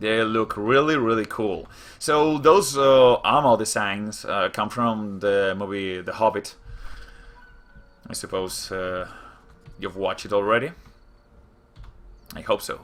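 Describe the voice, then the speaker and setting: Speaking fairly slowly with long, frequent pauses, a man with a Spanish accent keeps a medium pitch and ordinary pitch variation. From Spain. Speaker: gaming youtuber. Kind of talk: gameplay commentary. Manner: hesitant, many fillers.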